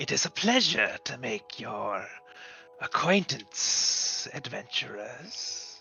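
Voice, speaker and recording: A put-on character voice goes at a very slow pace over clear music in the background. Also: man. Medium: actual play. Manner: polite, formal, faintly eerie.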